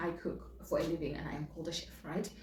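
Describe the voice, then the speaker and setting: In a Zimbabwean accent, the animated voice races along at a very fast pace amid audible room echo. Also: woman. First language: Shona. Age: 20s. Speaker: vlogger and chef. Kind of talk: casual chat. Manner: animated, repetitive.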